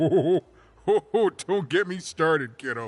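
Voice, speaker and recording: A put-on character voice at a fairly slow pace. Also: man, high pitch for a man. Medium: video game. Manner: rambling, good-natured, halting.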